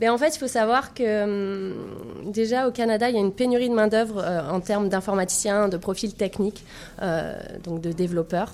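Using a plain, everyday voice, a woman keeps a medium pitch, a moderate pace and ordinary pitch variation. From France. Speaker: tech entrepreneur, founder. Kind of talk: radio interview.

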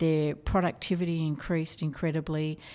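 In an Australian accent, a woman speaks with a very deep, low pitch and a dark, mellow tone. Her intonation is monotone and flat. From Australia, Newcastle NSW. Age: 50s. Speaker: corporate trainer. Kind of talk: interview.

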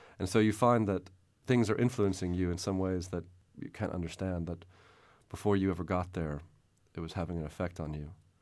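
In a Texan accent, a man talks at a fairly quick pace with a very deep, low pitch and ordinary pitch variation. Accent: Texan American. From Texas, San Antonio. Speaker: novelist. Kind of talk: interview.

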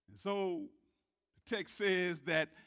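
The tone here is bright and sharp. It comes with an American accent. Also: man. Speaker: preacher. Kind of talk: sermon. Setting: church. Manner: animated; call-and-response.

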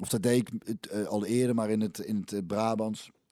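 A man with a dark, mellow tone speaks on a very clean recording with a silent background. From Belgian-Dutch border area, North Brabant region. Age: 40s. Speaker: former footballer and musician. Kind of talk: casual interview.

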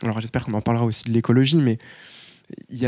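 A man's medium-pitched voice, dark and mellow with fairly even intonation, comes across dry and close with no echo on a very clean recording with a silent background. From Paris. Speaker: activist. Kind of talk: public panel debate.

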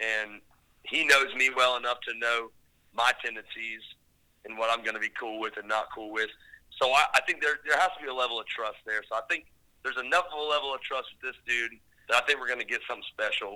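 The speaker talks at a fairly quick pace with an American accent, a bright, sharp tone and ordinary pitch variation. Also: man, medium pitch for a man. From northeast Florida. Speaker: songwriter and producer. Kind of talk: casual interview chat. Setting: at home, remote interview.

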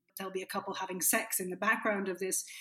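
This woman speaks with an Irish accent. Her pitch is medium. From Ireland. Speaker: film critic. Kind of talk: casual chat.

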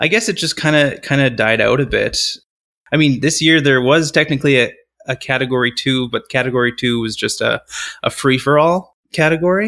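A fairly quick male voice, fairly high-pitched, bright and sharp in tone, with ordinary pitch variation. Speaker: competition organizer. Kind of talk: interview.

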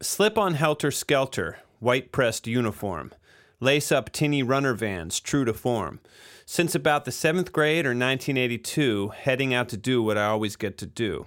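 A man's ordinary speaking voice, medium in pitch, at a moderate pace with lively intonation, on a very clean recording with a silent background. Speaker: recording engineer and podcast host. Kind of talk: casual interview chat. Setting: studio.

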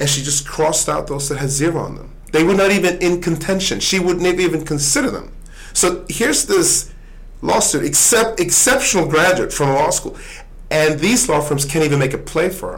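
In a room with audible echo, a man talks at a fairly quick pace in a high voice with ordinary pitch variation. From Sweden. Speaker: author and business executive. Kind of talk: interview. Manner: halting, many repetitions and fillers.

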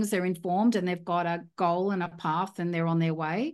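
With an Australian accent, a woman talks at a fairly quick pace in a medium pitch. The background is quiet. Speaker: property investor. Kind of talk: interview conversation. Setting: video call.

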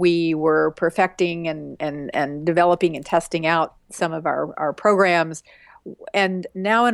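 A woman with an American accent has an unremarkable speaking voice, fairly low in pitch with ordinary variation. She speaks at a moderate pace against a quiet background. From West Texas. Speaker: author and women's rights activist. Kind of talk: interview.

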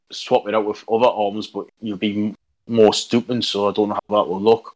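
In a Geordie accent, a man speaks with monotone, flat intonation in a dry, close sound with no echo. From Newcastle upon Tyne, northern England. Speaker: wargaming hobbyist. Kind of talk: casual chat.

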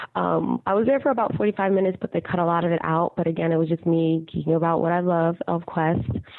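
A woman at a very fast pace, with ordinary pitch variation and noticeable background noise. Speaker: podcast voicemail caller. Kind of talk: voicemail message. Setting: phone voicemail. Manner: hesitant, many fillers.

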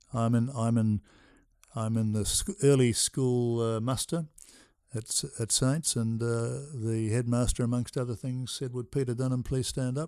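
In an Australian accent, a man speaks at a medium pitch and a fairly slow pace with fairly even intonation. His tone is dark and mellow, and the recording is very clean with a silent background. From South Australia. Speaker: retired accountant. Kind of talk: casual chat.

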